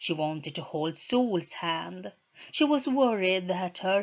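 The speaker does plain reading aloud, with lively intonation throughout.

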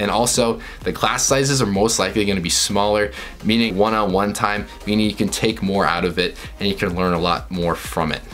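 The speaker has an ordinary speaking voice with ordinary pitch variation and a fairly quick pace. Light background noise is present. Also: man, fairly low pitch for a man. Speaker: vlogger. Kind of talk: casual vlog chat giving tips. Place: home room.

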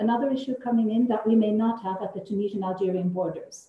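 A woman speaks at a fairly high pitch with ordinary pitch variation. Audible room echo surrounds her voice. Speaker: political researcher. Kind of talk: panel discussion. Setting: video call. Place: office. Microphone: video call.

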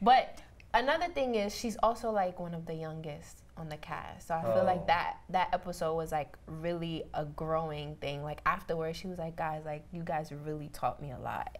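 A woman with a New York accent talks in an animated tone at fairly low pitch and a moderate pace, hardly pausing, with ordinary pitch variation and big swings in loudness. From Benin, raised in Harlem, New York. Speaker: podcast guest. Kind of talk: casual panel chat. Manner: casual, animated, lots of "like". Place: studio.

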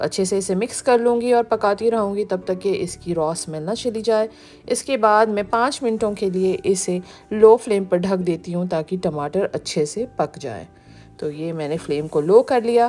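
A woman with a dark, mellow tone talks at a fairly slow pace. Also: ordinary pitch variation. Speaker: home cooking channel host. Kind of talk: tutorial.

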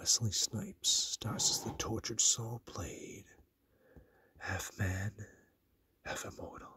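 Whispering at a very slow pace, a man leaves long, frequent pauses and makes big swings in loudness. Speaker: ASMR collector. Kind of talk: ASMR talk to camera. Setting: dim room, lo-fi recording. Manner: soft-spoken, low voice. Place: home room. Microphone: phone near.

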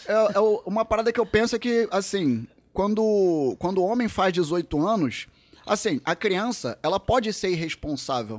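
A man with a high pitch, moderate pace and very even loudness. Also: lively intonation. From Brazil. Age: 40s. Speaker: social skills coach. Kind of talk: casual chat. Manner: animated. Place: studio. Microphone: studio mic.

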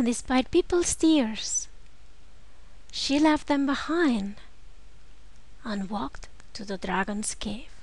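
A woman with a high pitch and lively intonation speaks at a very slow pace, leaving long, frequent pauses. Her loudness swings widely. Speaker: video narrator. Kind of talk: fairy-tale narration. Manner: storytelling, animated, building suspense.

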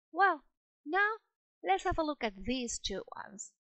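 Her pace is fairly slow, in a Spanish accent. The woman's pitch swings very widely. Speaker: English teacher. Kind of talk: lecture.

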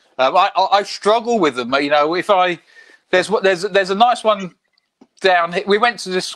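A man's high-pitched voice at a moderate pace, with ordinary pitch variation, against a quiet background. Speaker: comic artist. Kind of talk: casual chat. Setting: video call. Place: home room. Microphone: video call.

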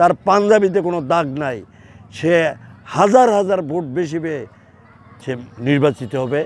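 Over noticeable background noise, a man with a high pitch talks with ordinary pitch variation. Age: 70s. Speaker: freedom fighter, war veteran. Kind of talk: news interview.

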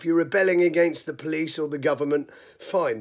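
The background is quiet. A man speaks at a high pitch and a fairly quick pace. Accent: British. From UK. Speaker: video blogger. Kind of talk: angry rant. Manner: furious, swearing-heavy, scolding. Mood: exasperated, angry at rioters. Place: home room. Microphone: phone near.

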